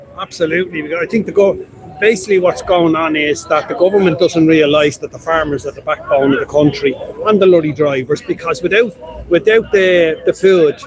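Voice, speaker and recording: Noticeable background noise sits under a fairly quick voice in a Dublin accent, with ordinary pitch variation and big swings in loudness. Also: man, high pitch for a man. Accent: Dublin Irish. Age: 60s. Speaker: retired fire brigade member. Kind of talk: street interview. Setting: outdoors at a street protest.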